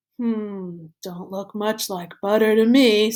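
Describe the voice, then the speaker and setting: Using a put-on character voice at a medium pitch, a woman speaks at a fairly slow pace. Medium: read story. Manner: skeptical, dry.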